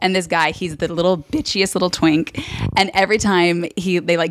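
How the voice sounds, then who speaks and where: Here is a woman with an ordinary speaking voice at a medium pitch. She talks at a fairly quick pace. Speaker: podcast co-host. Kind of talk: casual chat. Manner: playful, jokey.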